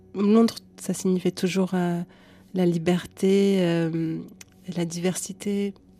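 Music plays in the background as a woman with a medium pitch speaks at a very slow pace in monotone, flat intonation, with long, frequent pauses. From Lebanon. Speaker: singer-songwriter. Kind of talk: interview. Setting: studio.

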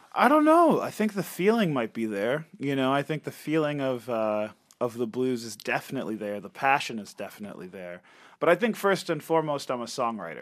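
Recorded very cleanly with a silent background, a man at medium pitch speaks with big swings in loudness and very wide pitch swings. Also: moderate pace. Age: 30s. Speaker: singer and guitarist. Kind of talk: interview. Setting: studio.

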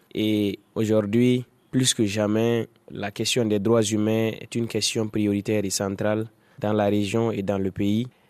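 Fairly slow, monotone, flat speech from a man at a fairly low pitch. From Burkina Faso, Sahel (Dori). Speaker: blogger and human rights activist. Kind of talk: reportage interview.

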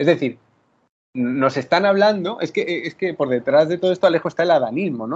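A man at a very fast pace, fairly high in pitch and lively in intonation. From Spain, Murcia. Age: 30s. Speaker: writer and journalist. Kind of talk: interview. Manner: halting, many repetitions and fillers.

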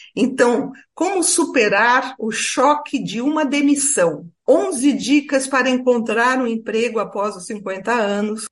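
A woman with a São Paulo accent speaks at a very slow pace in a high pitch with ordinary pitch variation. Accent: Brazilian Portuguese, São Paulo. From Brazil, São Paulo. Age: 60s. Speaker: retired lawyer and writer on ageing. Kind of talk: interview.

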